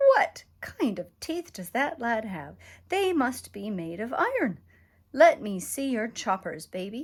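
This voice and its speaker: In a put-on character voice, the speaker bellows at a fairly high pitch and a fairly slow pace, raised and projected, with very wide pitch swings. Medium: read story. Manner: loud, bellowing.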